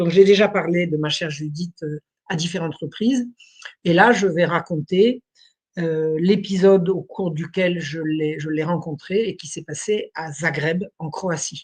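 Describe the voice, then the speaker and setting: Somewhat breathy, a woman speaks at a fairly slow pace with big swings in loudness. Her pitch is fairly low, with ordinary variation. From France, Burgundy. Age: 70s. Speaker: historian. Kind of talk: interview.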